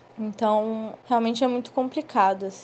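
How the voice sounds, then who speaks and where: A woman with an unremarkable speaking voice talks at a moderate pace in a medium pitch with fairly even intonation. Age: 20s. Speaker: student and app delivery worker. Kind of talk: interview, casual speech.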